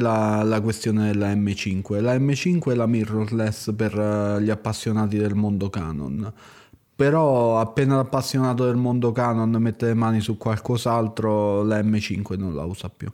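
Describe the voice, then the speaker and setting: In a dark, mellow tone, a man speaks at a fairly slow pace with ordinary pitch variation. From Italy. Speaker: photographer. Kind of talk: casual chat.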